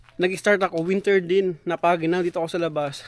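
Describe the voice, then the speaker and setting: A high-pitched man at a fairly quick pace, against noticeable background noise. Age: 30s. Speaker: vlogger, overseas worker. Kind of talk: casual vlog. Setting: outdoors.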